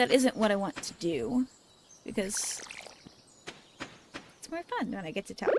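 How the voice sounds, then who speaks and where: Long, frequent pauses break up the speech. Background noise is noticeable throughout. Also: moderate pace. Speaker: gaming vtuber. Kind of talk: casual gameplay livestream chat. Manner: rambly, thinking out loud.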